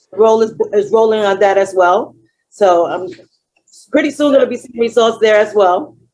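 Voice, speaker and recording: A woman with a Dominican accent, fairly high pitch, ordinary pitch variation, and a moderate pace. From Dominican Republic. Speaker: client giving testimony. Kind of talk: testimony.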